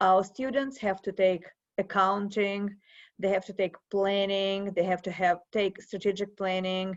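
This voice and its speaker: In a Russian accent, a woman with a medium pitch speaks at a fairly slow pace with monotone, flat intonation against a quiet background. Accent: Russian accent, persistent. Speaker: professor. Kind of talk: interview.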